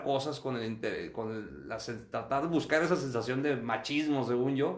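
A man talks at a moderate speed while audible room echo fills the recording. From northern Mexico, Acuña, Coahuila. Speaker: physician. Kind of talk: interview testimony. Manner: halting, frequent repetitions.

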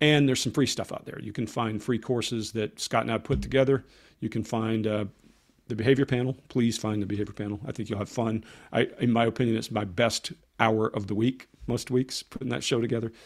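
An unremarkable speaking voice with an American accent, fairly quick in pace and fairly even in intonation, on a very clean recording with a silent background. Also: man, medium pitch for a man. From Georgia, US South (Columbus area). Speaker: former army interrogator, body language author. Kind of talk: interview.

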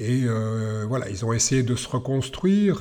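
A man's dark, mellow voice at medium pitch, with ordinary pitch variation. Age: 60s. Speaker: tai chi teacher. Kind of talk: podcast monologue. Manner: hesitant with fillers.

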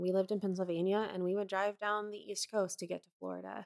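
A woman with an unremarkable speaking voice talks at a fairly quick pace in a medium pitch, her intonation fairly even and the sound dry and close with no echo. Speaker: podcast co-host and editor. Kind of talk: casual chat.

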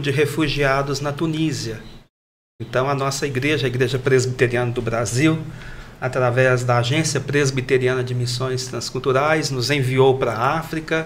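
Through audible room echo comes a man's somewhat breathy voice, fairly high in pitch, with fairly even intonation. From Brazil, Minas Gerais (Triângulo Mineiro). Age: 50s. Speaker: pastor and missionary. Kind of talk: panel discussion.

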